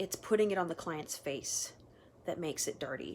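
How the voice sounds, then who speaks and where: A woman speaks in a normal speaking voice, pitched fairly low. Her pitch varies in an ordinary way. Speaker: makeup artist. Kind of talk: casual tutorial vlog. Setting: at home, sitting on the floor.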